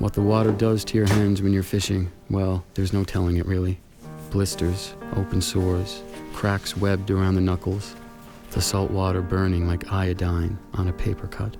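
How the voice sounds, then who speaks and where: With music in the background, a man speaks at a moderate pace in a very deep, low pitch. His intonation is monotone and flat, and his loudness stays very even. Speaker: narrator reading prose. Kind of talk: literary narration, poetry reading.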